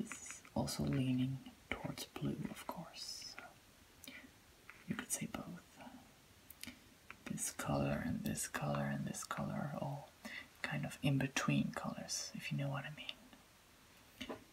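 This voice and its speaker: Whispering in a calm tone, the speaker goes at a very slow pace. Long, frequent pauses break up the speech. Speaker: color test host. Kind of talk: ASMR role-play color test. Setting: lo-fi, low-quality recording. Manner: soft-spoken, calm. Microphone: phone near.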